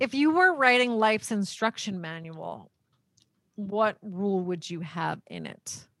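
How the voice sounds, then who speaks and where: Speaking at a fairly slow pace, a woman uses a plain, everyday voice at medium pitch, with lively intonation and big swings in loudness. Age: 40s. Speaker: podcast host and divorce lawyer. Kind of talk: casual interview.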